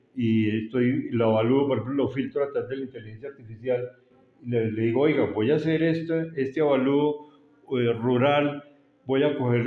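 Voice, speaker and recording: With noticeable background noise, a man of medium pitch speaks at a moderate pace and with fairly even intonation. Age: 70s. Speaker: architect and property appraiser. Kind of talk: interview. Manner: halting, with many repetitions and fillers.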